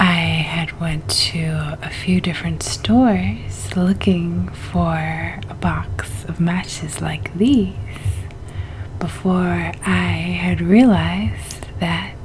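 A soft-spoken woman leaves long, frequent pauses. Light background noise is present. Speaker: ASMR creator. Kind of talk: ASMR video. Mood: relaxed, smiling. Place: home room. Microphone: studio mic.

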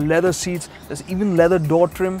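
A man's high-pitched, monotone voice at a fairly quick pace, flat in intonation, dry with no echo, over faint music in the background. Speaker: TV presenter. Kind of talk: car review presentation. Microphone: lapel.

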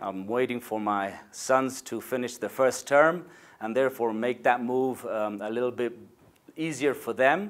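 In a Spanish accent, a man talks at a fairly slow pace, his pitch medium and its variation ordinary, against a quiet background. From Argentina, Buenos Aires. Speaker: insurance executive. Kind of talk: corporate video address. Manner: hesitant, with fillers. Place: office. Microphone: lapel.

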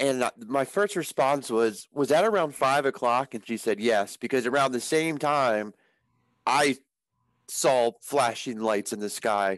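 A man speaks at medium pitch in an American accent, at a fairly slow pace with ordinary pitch variation. The sound is dry with no echo, and the background is quiet. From Maryland. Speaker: outdoors podcast co-host. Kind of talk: casual chat. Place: home room. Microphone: headset.

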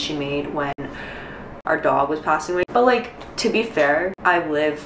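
Ordinary pitch variation with audible room echo and light background noise. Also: woman. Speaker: vlogger. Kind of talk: casual vlog chat. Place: home room. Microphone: camera far.

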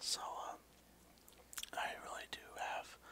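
Whispering and soft-spoken, a man talks over light background noise. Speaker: vlogger, ASMR channel host. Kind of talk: casual vlog chat. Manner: soft close-mic whisper. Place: home room. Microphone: headset.

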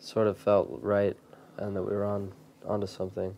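A soft-spoken man's fairly low-pitched voice, dark and mellow, with monotone, flat intonation at a moderate pace. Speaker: musician. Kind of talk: interview answer.

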